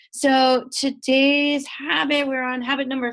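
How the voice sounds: A woman speaks with a nasal voice. Her tone is fairly bright.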